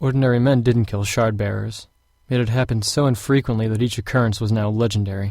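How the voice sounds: The speaker uses a natural reading voice.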